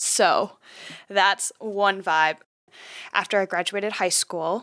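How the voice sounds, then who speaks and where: With an American accent, a woman speaks at a very slow pace in a bright, sharp tone, the sound dry and close with no echo. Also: medium pitch for a woman, fairly even intonation. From US Midwest, Wisconsin (near Manitowoc). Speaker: podcast co-host. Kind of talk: casual chat. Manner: talkative.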